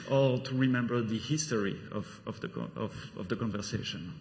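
A man with a French accent, moderate pace and ordinary pitch variation. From Belgium. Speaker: solution architect giving a conference talk. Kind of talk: technical conference talk. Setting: conference stage with audience. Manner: halting, with frequent fillers.

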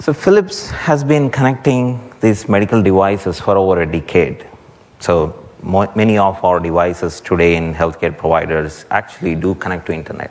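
Very deep, low male voice with lively intonation at a moderate pace. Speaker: guest speaker from healthcare company. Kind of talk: conference talk. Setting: conference stage with audience.

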